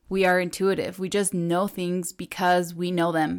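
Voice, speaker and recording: Speaking at a moderate pace with a Spanish accent, a woman uses a fairly low pitch and an animated tone. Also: very clean recording, silent background. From Ecuador. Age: 20s. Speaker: podcast host. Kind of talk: casual solo podcast chat.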